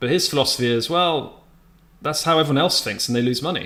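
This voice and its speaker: A man speaks with a bright, sharp tone and ordinary pitch variation, in a very clean recording against a silent background. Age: 30s. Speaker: day trader streamer. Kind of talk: live-stream commentary with chat. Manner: casual, self-correcting.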